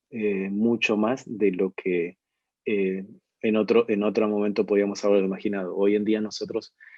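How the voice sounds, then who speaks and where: With an Argentine accent, a man speaks at a fairly slow pace and fairly low pitch. His tone is dark and mellow, with a dry, close sound and no echo. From Argentina. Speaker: ministry leader, webinar speaker. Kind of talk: online webinar talk. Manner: hesitant, many fillers and repetitions.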